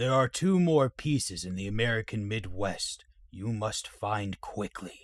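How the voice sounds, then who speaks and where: The man puts on a character voice and keeps his delivery fairly slow. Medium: audio drama. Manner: formal, grave.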